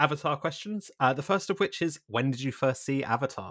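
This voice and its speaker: A man with an ordinary speaking voice talks at a fairly quick pace with lively intonation. The recording is very clean and the background silent. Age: 30s. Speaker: podcast host. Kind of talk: casual chat.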